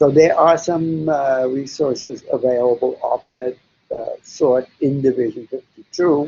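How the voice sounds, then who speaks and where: A man talks at a fairly slow pace. He speaks with a German accent. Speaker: psychologist. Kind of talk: webinar Q&A. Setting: online webinar. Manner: halting, many fillers.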